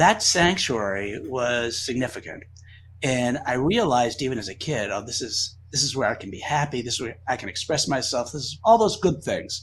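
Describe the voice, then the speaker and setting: Against a quiet background, a man with an American accent and an ordinary speaking voice talks at a moderate pace with lively intonation. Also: medium pitch for a man, big swings in loudness. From US East Coast, Boston area. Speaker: magic creator. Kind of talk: casual interview chat.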